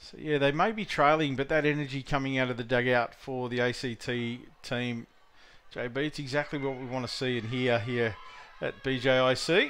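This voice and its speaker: A man speaks with an Australian accent and fairly even intonation. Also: medium pitch for a man, moderate pace. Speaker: sports commentator. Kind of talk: live sports commentary, play-by-play. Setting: softball tournament venue commentary.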